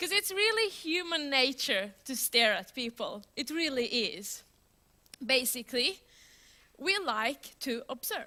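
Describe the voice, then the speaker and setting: A woman speaks at a fairly slow pace in a high, bright and sharp voice, raised and projected, with very wide pitch swings. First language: Swedish. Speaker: software developer, conference speaker. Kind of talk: conference talk. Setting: stage with audience. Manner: loud; animated.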